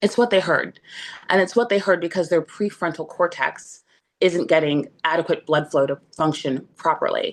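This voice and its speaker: Here a woman has an unremarkable speaking voice. She moves at a moderate pace with ordinary pitch variation. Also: fairly low pitch for a woman. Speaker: relationship coach, former divorce attorney. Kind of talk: talk to an online group.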